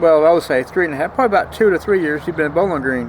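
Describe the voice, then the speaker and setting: A man speaking at a very fast pace with an American accent, over noticeable background noise. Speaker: vlogger. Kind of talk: casual vlog monologue. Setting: outdoors.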